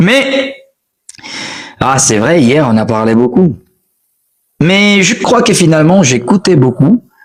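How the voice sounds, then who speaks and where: A man with a high voice speaks with very wide pitch swings. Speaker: French teacher. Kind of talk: live stream language lesson. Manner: repetitive, animated.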